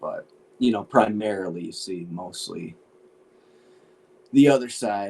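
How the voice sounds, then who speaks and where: Lively intonation from a man with an American accent and a fairly low pitch. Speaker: podcast co-host. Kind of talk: casual chat.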